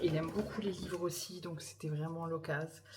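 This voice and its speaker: Soft-spoken, a woman talks with fairly low pitch. Noticeable background noise and audible room echo are present. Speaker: vlogger and mother. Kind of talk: casual vlog talk to camera. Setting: at home in the evening. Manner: soft-spoken, speaking quietly; hesitant, many fillers.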